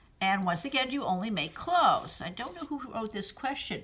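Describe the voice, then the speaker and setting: A woman's high voice swings very widely in pitch against noticeable background noise. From Massachusetts, US. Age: 60s. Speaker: fiber artist. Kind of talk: answering children's questions in a recorded video message. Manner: gentle, kid-friendly.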